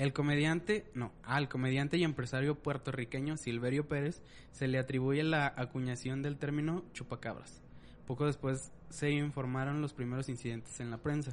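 A man with a Mexican accent speaks at a moderate pace with fairly even intonation. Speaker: podcast co-host. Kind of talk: reading aloud; casual chat.

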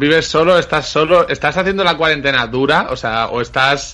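A man's fairly high voice with lively intonation. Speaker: podcast host. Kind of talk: casual chat.

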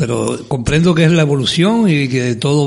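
The speech has ordinary pitch variation, with audible room echo and noticeable background noise. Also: man. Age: 60s. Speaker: carnival group president. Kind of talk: interview.

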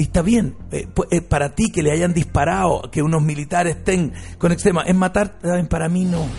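A man with a Chilean accent speaks in a high pitch and an animated tone. His pace is moderate. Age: 50s. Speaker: radio host. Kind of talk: talk radio debate.

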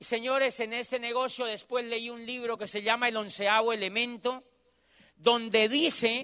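At a fairly slow pace, the voice is raised and projected, with a bright, sharp, animated tone. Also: man. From Colombia. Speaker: motivational speaker. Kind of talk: motivational talk. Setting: stage with audience.

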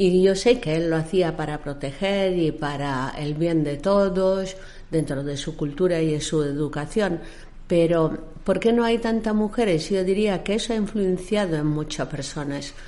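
A woman speaks at a fairly slow pace and a fairly low pitch. Room echo is audible around her voice. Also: ordinary pitch variation. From raised internationally, born in Egypt. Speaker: maritime services company founder. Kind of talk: interview.

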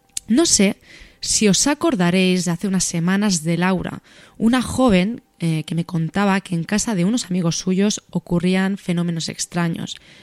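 A woman talks at a medium pitch and a fairly slow pace, in an ordinary speaking voice with ordinary pitch variation. The sound is dry and close, with no echo. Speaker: radio show host. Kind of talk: scripted narration.

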